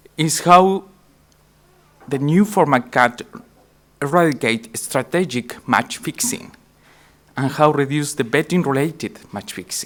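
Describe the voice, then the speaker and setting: Long, frequent pauses break up the speech, delivered in a Spanish accent. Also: man, fairly high pitch for a man, lively intonation, fairly slow pace. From Chile. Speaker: tech company CEO. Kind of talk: conference presentation. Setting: conference stage with audience.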